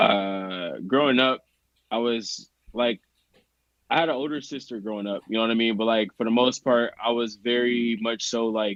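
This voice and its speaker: Speaking in a plain, everyday voice, a man keeps a medium pitch and fairly even intonation at a moderate pace. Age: 30s. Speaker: podcast co-host. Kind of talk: casual chat.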